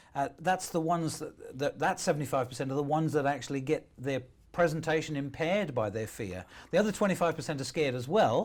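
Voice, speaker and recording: Talking at a very fast pace, a man with a British accent uses lively intonation at a fairly high pitch. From UK. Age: 60s. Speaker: motivational speaker. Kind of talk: interview.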